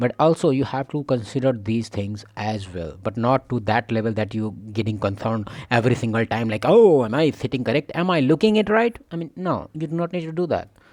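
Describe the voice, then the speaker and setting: A man with a non-native accent talks at a fairly quick pace with hardly any pauses. His pitch is medium and his intonation lively. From India. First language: not English. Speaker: reaction video creator. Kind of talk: reaction commentary.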